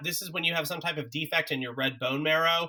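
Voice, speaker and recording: The man's voice sits fairly high and has a bright, sharp tone. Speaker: college biology instructor. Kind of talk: recorded lecture. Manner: casual with many fillers.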